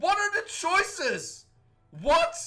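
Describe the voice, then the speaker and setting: A man speaks in a raised, projected voice. His tone is animated. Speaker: gaming youtuber. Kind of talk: let's play commentary. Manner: loud.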